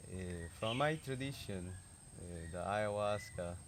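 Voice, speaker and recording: In a Peruvian accent, a man talks at a very deep, low pitch with ordinary pitch variation. Audible room echo is present. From Peruvian Amazon, Shipibo community. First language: Shipibo. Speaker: traditional healer. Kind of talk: interview. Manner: halting, many fillers.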